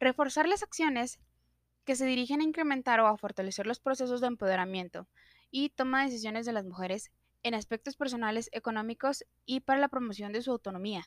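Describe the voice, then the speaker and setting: A woman's high-pitched voice with ordinary pitch variation comes through a very clean recording with a silent background and a dry, close sound with no echo. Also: fairly quick pace. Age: 30s. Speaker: student. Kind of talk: sales pitch. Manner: formal.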